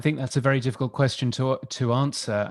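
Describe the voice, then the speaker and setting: On a very clean recording with a silent background, a man speaks at medium pitch with an English accent. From United Kingdom. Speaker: radio industry expert. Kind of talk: panel discussion.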